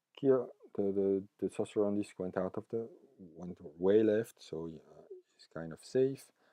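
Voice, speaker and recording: A man with a French accent speaks fairly slowly at a fairly low pitch, his tone dark and mellow. The sound is dry and close with no echo, and his loudness swings widely. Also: ordinary pitch variation. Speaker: tabletop gaming YouTuber. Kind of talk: battle report narration. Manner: halting, many fillers.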